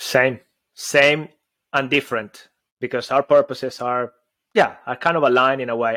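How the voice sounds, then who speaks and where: A man with a Venezuelan accent speaks at a medium pitch and moderate pace in a bright, sharp tone, on a very clean recording with a silent background. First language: Spanish. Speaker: communication and public speaking coach. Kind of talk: casual chat. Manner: animated.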